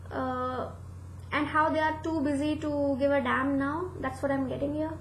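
A woman with a high pitch talks at a moderate pace in monotone, flat intonation, with audible room echo and light background noise. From India. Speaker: tarot reader. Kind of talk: tarot reading monologue. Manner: halting, many fillers. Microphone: webcam.

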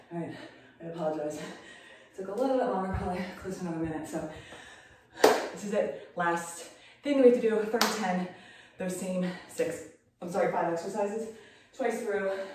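A woman speaks with ordinary pitch variation. There is audible room echo and loud background noise. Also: fairly quick pace. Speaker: fitness instructor. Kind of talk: workout instruction. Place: gym. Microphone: camera far.

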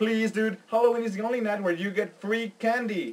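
The man speaks at a moderate pace in a high pitch. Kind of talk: casual comedic skit dialogue. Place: home room. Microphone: webcam.

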